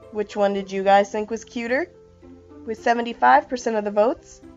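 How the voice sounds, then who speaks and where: A woman with a fairly high pitch talks over music in the background. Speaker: anime contest host. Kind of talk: casual contest results announcement.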